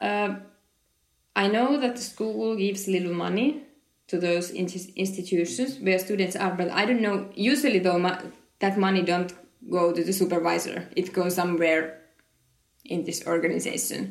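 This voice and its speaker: At a moderate pace, a woman with a Finnish accent leaves long, frequent pauses while the room adds audible echo. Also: medium pitch for a woman, ordinary pitch variation. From Finland. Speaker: occupational therapist. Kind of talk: interview. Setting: conference. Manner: halting.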